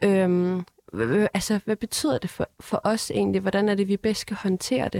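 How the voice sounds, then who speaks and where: A woman speaks at medium pitch in a dark, mellow tone with ordinary pitch variation. The recording is very clean, with a silent background and a dry, close sound with no echo. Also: fairly slow pace. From North Zealand, Denmark. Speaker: parliamentary candidate. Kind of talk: panel discussion. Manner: hesitant, many fillers.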